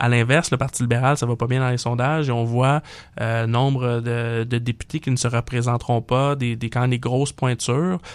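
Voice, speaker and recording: On a very clean recording with a silent background, a man at medium pitch speaks at a moderate pace in a monotone, flat intonation. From Quebec, Montreal (Saint-Léonard). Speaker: political panelist. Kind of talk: political talk show. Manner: hesitant, many fillers.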